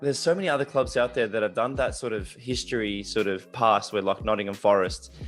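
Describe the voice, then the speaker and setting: A speaker with an Australian accent talks at a very fast pace with hardly any pauses. The intonation is lively, and music plays in the background. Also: man, fairly low pitch for a man. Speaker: podcast host. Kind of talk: casual interview chat.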